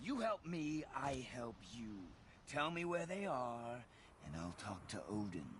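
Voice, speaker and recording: Putting on a character voice, a man speaks at a fairly slow pace and medium pitch, with clear background noise behind him. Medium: video game. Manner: cold, menacing.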